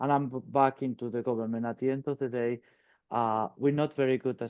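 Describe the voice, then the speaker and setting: In a European accent, a man delivers his words at a fairly quick pace and medium pitch with monotone, flat intonation. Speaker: company executive. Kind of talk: webinar panel discussion.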